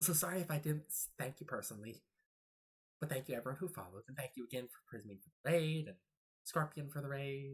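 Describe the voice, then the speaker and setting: The speaker is soft-spoken. The words come at a very fast pace. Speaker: video game streamer. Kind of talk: live stream chat. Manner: soft-spoken, quiet; halting.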